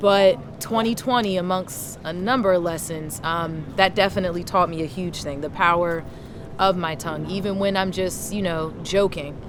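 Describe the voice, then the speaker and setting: A woman's fairly low voice with ordinary pitch variation, plus noticeable background noise and audible room echo. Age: 30s. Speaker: interview guest. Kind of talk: casual interview. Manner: loud.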